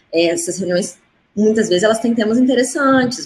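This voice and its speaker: Somewhat breathy, the voice races along at a very fast pace with lively intonation. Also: woman. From Minas Gerais, Juiz de Fora (Brazil). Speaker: diplomat. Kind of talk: live stream interview.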